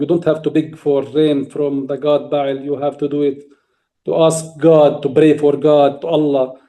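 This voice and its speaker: A dark, mellow tone in a Palestinian accent, at a moderate pace. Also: man. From Palestine, village near Nablus. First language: Arabic. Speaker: farmer and speaker on Palestinian farming. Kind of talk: interview talk on a video call. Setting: video call from Palestine. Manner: halting, with repetitions and restarts.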